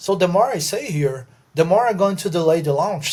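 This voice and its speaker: In a Brazilian accent, a man talks at a moderate pace. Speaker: podcast co-host. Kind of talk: casual chat.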